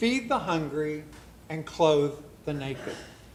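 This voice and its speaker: Lively intonation carries a man's very slow delivery while noticeable background noise stays audible. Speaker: guest preacher. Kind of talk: church sermon.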